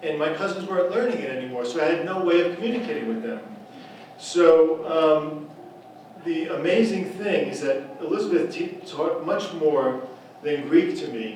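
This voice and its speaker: A man with an American accent speaks in a fairly high voice at a moderate pace. Audible room echo and noticeable background noise can be heard. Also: big swings in loudness. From US Northeast, the Bronx, New York. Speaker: writer and speech writer. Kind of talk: speech at an event. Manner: halting, with frequent repeats and fillers.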